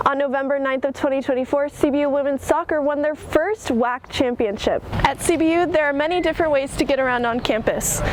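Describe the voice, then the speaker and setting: A woman talks at a high pitch and a fairly quick pace with hardly any pauses and ordinary pitch variation, over noticeable background noise. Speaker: student TV news reporter. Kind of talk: news reporter standup.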